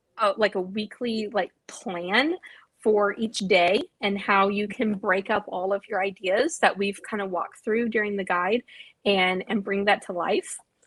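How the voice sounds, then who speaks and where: This woman has an unremarkable speaking voice, medium in pitch, with fairly even intonation and a fairly slow pace. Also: dry, close sound with no echo. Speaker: marketing and branding consultant. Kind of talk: live video discussion.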